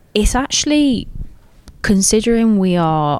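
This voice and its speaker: A woman in an English accent with lively intonation at a fairly slow pace. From England. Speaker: professional footballer. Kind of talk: interview. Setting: at club training ground.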